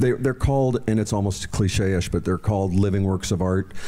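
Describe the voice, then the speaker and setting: With an American accent, a man talks in a fairly low pitch with a dark, mellow tone and ordinary pitch variation. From New Mexico, US. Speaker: horse breeder; guest. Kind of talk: public interview. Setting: museum stage with audience. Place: hall. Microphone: handheld.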